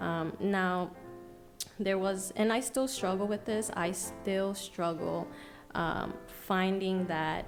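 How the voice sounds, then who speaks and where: A soft-spoken woman talks at a very slow pace, her medium pitch held in fairly even intonation and very even loudness. Music plays in the background. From New York City, USA. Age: young. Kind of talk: podcast guest answering in conversation. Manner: soft-spoken, passionate.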